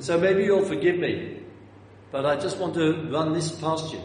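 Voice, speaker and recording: There is noticeable background noise and audible room echo. A man with a London accent talks at a moderate pace. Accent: southern English, London. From North London, England. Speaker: preacher. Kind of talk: sermon. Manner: halting, repeats words.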